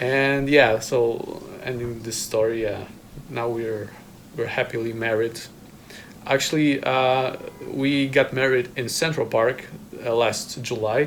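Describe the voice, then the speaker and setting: With a Polish accent, a man talks at a fairly slow pace with fairly even intonation and long, frequent pauses over noticeable background noise. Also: medium pitch for a man. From Poland. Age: 30s. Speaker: trumpet player. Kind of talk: casual chat. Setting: video hangout in a home. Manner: halting.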